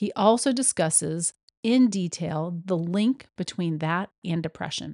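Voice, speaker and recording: A woman with a normal speaking voice, fairly low in pitch and with ordinary pitch variation. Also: dry, close sound with no echo. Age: 50s. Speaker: podcast host, yoga teacher. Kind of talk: solo monologue, motivational tips.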